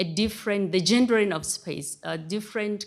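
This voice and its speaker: On a very clean recording with a silent background, a woman with a non-native accent talks at a moderate pace in a medium pitch with ordinary pitch variation. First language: not English. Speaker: research associate, religion scholar. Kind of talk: panel talk. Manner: halting.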